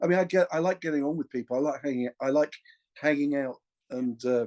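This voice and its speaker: A man with an English accent speaks at a fairly quick pace. His voice sounds dry and close, with no echo. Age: 60s. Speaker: session drummer. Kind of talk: casual interview. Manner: halting, many restarts.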